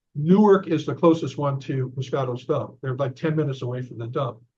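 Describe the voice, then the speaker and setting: Somewhat breathy, a man speaks at a moderate pace and medium pitch. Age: 70s. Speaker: author and investigator. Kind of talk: interview. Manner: halting.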